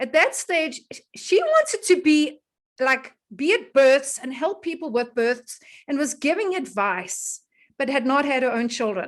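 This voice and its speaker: In a South African accent, a woman speaks with an animated tone and a high pitch. Her pace is fairly slow, and her pitch swings very widely. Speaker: wellness educator and host. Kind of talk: casual online presentation. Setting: video call.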